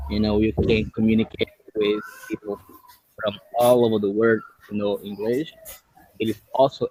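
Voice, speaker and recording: Spoken at a moderate pace with a Brazilian Portuguese accent, the voice has fairly even intonation and a dry, close sound with no echo. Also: man. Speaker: English learner, YouTuber, software developer. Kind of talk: casual chat. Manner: halting.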